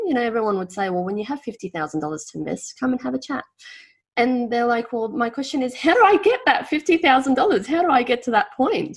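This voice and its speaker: A woman with an Australian accent and a high pitch talks at a very fast pace, her pitch swinging very widely. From former Yugoslavia. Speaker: financial planner. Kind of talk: podcast interview.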